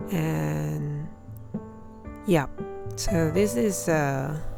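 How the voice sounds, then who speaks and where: A woman speaks at a very slow pace while music plays in the background. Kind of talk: casual voice-over narration of a drawing process. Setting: home recording with new microphone. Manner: hesitant, many fillers.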